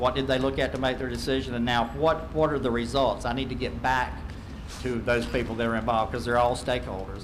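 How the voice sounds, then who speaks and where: In a Southern US accent, a man at medium pitch talks at a very fast pace over noticeable background noise with audible room echo. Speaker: accreditation consultant. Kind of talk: presentation to school board.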